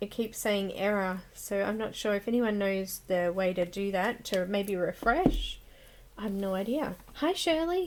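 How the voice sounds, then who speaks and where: A woman speaks at a fairly slow pace. She has an Australian accent. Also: medium pitch for a woman, ordinary pitch variation. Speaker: coloring livestream host. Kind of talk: casual livestream chat. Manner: chatty, cheerful.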